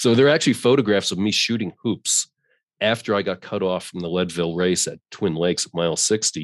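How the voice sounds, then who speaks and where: A man with an American accent speaks in a plain, everyday voice at a fairly low pitch with ordinary pitch variation. His fairly quick speech has a dry, close sound with no echo against a quiet background. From New York. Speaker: running coach. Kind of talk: casual interview. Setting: video call.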